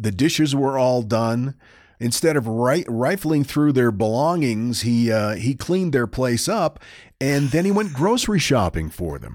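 An unremarkable speaking voice from a man with an American accent, at a medium pitch and a fairly slow pace with lively intonation, on a very clean recording with a silent background. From northern Maine, US. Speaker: podcast co-host, storyteller. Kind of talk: casual storytelling chat.

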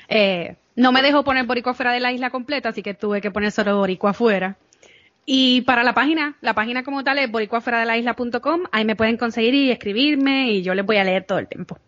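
A woman with a fairly high pitch speaks at a very fast pace with ordinary pitch variation. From Puerto Rico. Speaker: podcaster guest. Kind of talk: casual interview chat.

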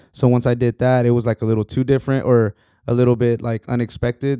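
With an American accent, a man talks at a fairly quick pace in a monotone, flat intonation, his medium-pitched voice dark and mellow in a dry, close sound with no echo. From Texas, San Antonio. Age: 30s. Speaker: musician and realtor. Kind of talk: casual chat.

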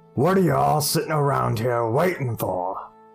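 A man's put-on character voice, medium in pitch, at a moderate pace, faint music in the background.

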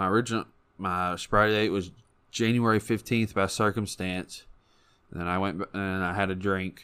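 A man with a Kentucky accent speaks at a moderate pace, his pitch fairly low and his intonation monotone and flat. His tone is bright and sharp, and the recording is very clean with a silent background. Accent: Kentucky Southern US. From Kentucky, Owensboro. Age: 20s. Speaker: recovering addict. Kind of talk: testimony. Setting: studio.

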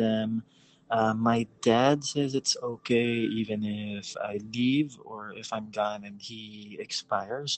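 A man's voice is heard. It sits at a medium pitch. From Philippines. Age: 30s. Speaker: caller. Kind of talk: advice call.

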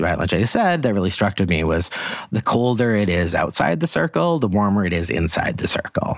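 A man talks with very wide pitch swings. Noticeable background noise runs behind him. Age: 40s. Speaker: author and journalist. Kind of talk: casual chat.

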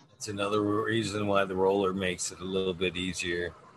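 A man's moderately paced speech is accompanied by noticeable background noise. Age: 40s. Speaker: cannabis podcast host. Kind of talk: casual chat. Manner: animated.

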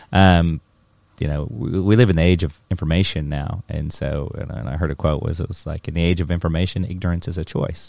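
At a fairly quick pace, a man with a very deep, low pitch and vocal fry speaks with ordinary pitch variation. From North America. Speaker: mushroom company founder.

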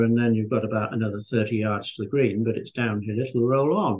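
This man has a medium-pitched voice, a Yorkshire accent and fairly even intonation. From northern England, Scarborough, Yorkshire. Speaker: golf course architect and former pro golfer. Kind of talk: interview.

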